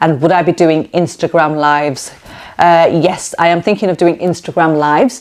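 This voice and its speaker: Her pitch fairly low, a woman speaks with a Lancashire accent. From northern England, Preston, Lancashire. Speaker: cooking YouTuber. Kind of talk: casual Q&A vlog chat. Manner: animated.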